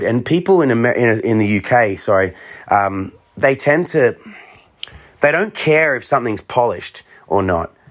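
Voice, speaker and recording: Speaking with an Australian accent, a man has an animated tone and lively intonation. His pitch is medium and his pace moderate. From Australia, Melbourne. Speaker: street looping musician. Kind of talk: interview.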